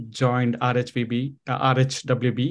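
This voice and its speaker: A man with an Indian accent, medium in pitch, over a quiet background. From India, Bangalore. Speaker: amateur marathon runner. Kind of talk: casual interview chat.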